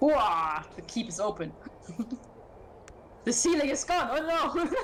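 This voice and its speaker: The pace is fairly slow. Noticeable background noise runs under the voice. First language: not English. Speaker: tabletop game player. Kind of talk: casual chat.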